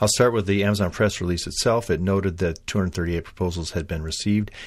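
On a very clean recording with a silent background, a man with a very deep, low pitch talks at a fairly quick pace with fairly even intonation. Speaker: podcast host. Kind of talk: podcast monologue. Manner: unscripted, hesitant with fillers.

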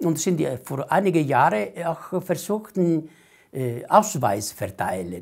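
A man with an Italian accent talks at a fairly slow pace in a high pitch, his loudness swinging widely. The background is quiet. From Italy. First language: Italian (speaking German). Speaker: Italian immigrant association leader; interviewee. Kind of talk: oral history interview. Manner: halting, many hesitations. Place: home room. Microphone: lapel.

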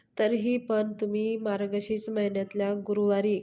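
A woman talks in a fairly high pitch with monotone, flat intonation. Noticeable background noise runs underneath. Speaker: devotional YouTuber. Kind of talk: devotional tutorial.

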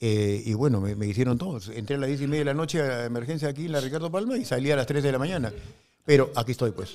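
The pitch variation is ordinary. This man's pace is very fast. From Peru. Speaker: football pundit; sports talk show host. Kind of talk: casual sports talk show. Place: studio. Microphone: studio mic.

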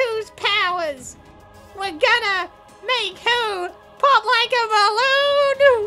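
This woman uses a put-on character voice, extremely high in pitch with a bright, sharp tone and ordinary pitch variation. She talks very slowly over faint background music.

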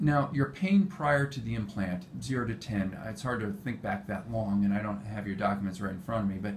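Fairly quick, somewhat breathy speech from a man with a fairly low pitch. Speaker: pain management physician. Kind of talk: clinical patient interview. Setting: medical clinic.

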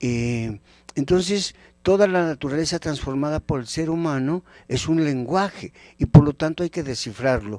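A man speaks at a fairly high pitch with ordinary pitch variation and a dark, mellow tone, at a moderate pace. The sound is dry with no echo, over a quiet background. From Mexico, Temascalcingo (State of Mexico); State of Mexico, Mexico. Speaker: anthropologist and magazine editor; guest. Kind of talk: educational TV interview. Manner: animated. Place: studio. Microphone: handheld.

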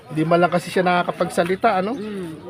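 A man speaks at a high pitch with fairly even intonation. Noticeable background noise runs underneath. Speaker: charity vlogger. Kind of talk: vlog narration to camera.

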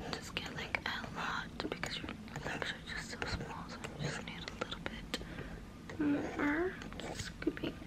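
Whispering at a fairly slow pace. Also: woman. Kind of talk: role-play whisper-style talk to viewer. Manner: soft, close ASMR murmur. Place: home room.

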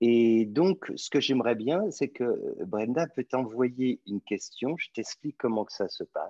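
The background stays quiet. A man talks at a very slow pace. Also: dry sound with no echo. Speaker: spiritual teacher. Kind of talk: question and answer session. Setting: video call. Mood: calm, gentle, reflective. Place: home room. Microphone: video call.

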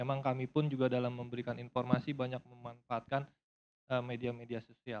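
At a fairly quick pace, a man speaks in a monotone, flat intonation with light background noise. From Indonesia. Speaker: HIV community network representative; panelist. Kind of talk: panel talk. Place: hall. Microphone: handheld.

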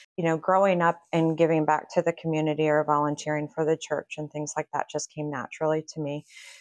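A woman with an American accent speaks at a very fast pace in a very deep, low pitch, with hardly any pauses and a monotone, flat intonation. The sound is dry with no echo over a quiet background. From Kansas, then northern Virginia. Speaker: real estate agent and team leader; guest. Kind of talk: casual interview. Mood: earnest, warm. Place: office.

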